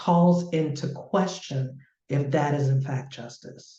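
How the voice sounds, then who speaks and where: With an American accent, a woman speaks in a very deep, low voice, somewhat breathy, with a dark, mellow tone and ordinary pitch variation. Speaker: community organizer. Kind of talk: panel discussion. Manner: slow.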